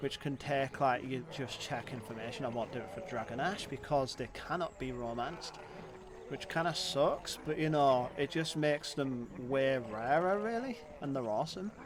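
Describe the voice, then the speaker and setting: In a strong British accent, the speaker goes at a moderate pace with ordinary pitch variation over noticeable background noise. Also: man, fairly high pitch for a man. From Britain. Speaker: gaming streamer. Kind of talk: gameplay livestream commentary. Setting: livestream. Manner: animated.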